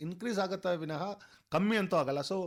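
An animated man with a Telugu accent talks at a high pitch. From Bengaluru, India. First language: Telugu (speaking Kannada). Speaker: costumed cricket superfan. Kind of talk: radio interview. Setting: radio studio.

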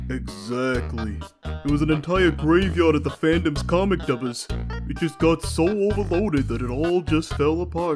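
A man uses a put-on character voice at medium pitch and a moderate pace, with faint music in the background. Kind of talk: comic dub. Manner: laid-back, drawling.

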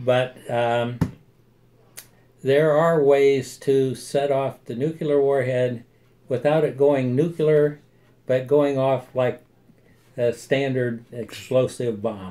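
In an American accent, a man speaks at a very slow pace with fairly even intonation and long, frequent pauses. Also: medium pitch for a man. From United States. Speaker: army veteran. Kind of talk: interview answer. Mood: calm, friendly explaining. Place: office. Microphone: phone near.

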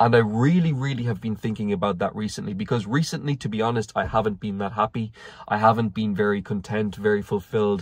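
A man speaks at a very fast pace in a fairly low voice, with ordinary pitch variation. The sound is dry with no echo, over a quiet background. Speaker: vlogger. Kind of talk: casual vlog chat. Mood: reflective, candid. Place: car. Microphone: phone near.

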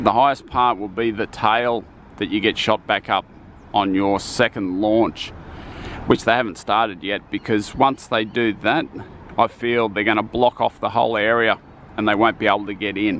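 In a fairly low pitch and with fairly even intonation, a man speaks at a moderate pace in an unremarkable speaking voice, the sound dry with no echo and light background noise behind him. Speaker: theme park construction vlogger. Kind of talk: casual vlog commentary. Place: street. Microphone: phone near.

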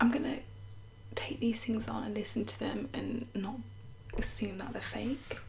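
A woman talks at a moderate pace with light background noise. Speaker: ASMR creator. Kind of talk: casual chatty talk to camera. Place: home room. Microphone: studio mic.

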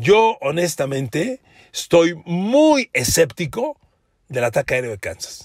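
A man's somewhat breathy voice, animated in tone, with lively intonation. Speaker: sports journalist. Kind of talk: solo podcast commentary.

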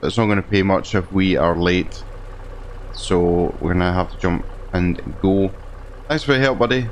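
A man speaks at a very deep, low pitch with ordinary pitch variation, keeping a moderate pace and very even loudness. Long, frequent pauses break up his speech, and there is noticeable background noise. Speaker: gaming video creator. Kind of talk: role-play let's play narration. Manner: halting.

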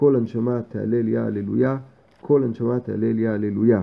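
A man with medium pitch talks at a fairly slow pace with fairly even intonation. It is an unremarkable speaking voice. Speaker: man reading prayers aloud for his blind grandfather.

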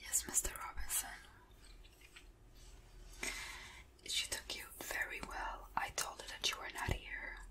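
Whispering and soft-spoken, a woman talks at a fairly slow pace. Long, frequent pauses break up her speech. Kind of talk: role-play phone call, soft-spoken. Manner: soft close-mic whisper, secretary roleplay. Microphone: studio mic.

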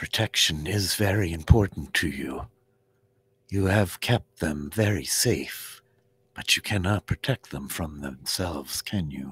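A man puts on a character voice with a very deep, low pitch and lively intonation. He goes at a fairly slow pace, with a dry, close sound and no echo. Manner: calm, solemn, formal.

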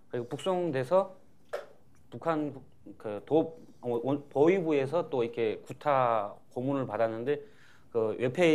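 Ordinary pitch variation marks this man's speech. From North Korea. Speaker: former soldier and defector; panelist. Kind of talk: panel testimony. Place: hall. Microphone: lapel.

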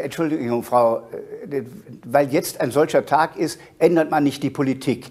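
With long, frequent pauses, a man talks at a moderate pace in a fairly high pitch and fairly even intonation. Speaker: politician. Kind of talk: TV interview answer.

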